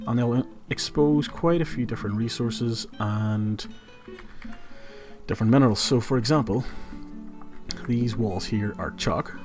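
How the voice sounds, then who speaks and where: Over music in the background, a man with a Northern Irish accent speaks at a medium pitch and moderate pace, with ordinary pitch variation. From Northern Ireland. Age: 20s. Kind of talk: casual gameplay livestream commentary. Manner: casual, chatty.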